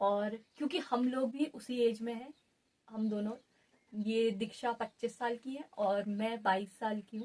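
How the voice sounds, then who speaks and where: A woman's voice comes through somewhat breathy and fairly high in pitch. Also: fairly even intonation. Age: 20s. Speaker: podcast co-host. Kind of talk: casual chat.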